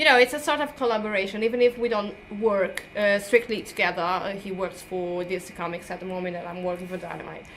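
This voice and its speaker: A woman with an Italian accent speaks at a very fast pace and medium pitch, with hardly any pauses, ordinary pitch variation, and big swings in loudness. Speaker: comic artist. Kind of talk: convention panel interview. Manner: halting.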